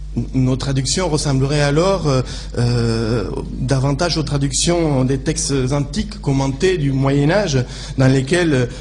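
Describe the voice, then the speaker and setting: A man speaks at a moderate pace with fairly even intonation. Noticeable background noise and audible room echo surround him. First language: Spanish (speaking French). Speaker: legal translator, conference speaker. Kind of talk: conference talk. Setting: conference room with audience. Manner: halting, many fillers and repetitions.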